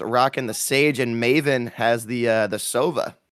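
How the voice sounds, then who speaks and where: Moderate in pace, a man is talking. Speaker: esports caster. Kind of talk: live commentary. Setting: casting booth at LAN event. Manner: high energy.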